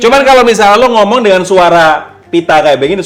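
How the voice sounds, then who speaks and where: In a guttural, put-on character voice, a man speaks fairly quickly at a high pitch. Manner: demonstrating a throat-voice, grating.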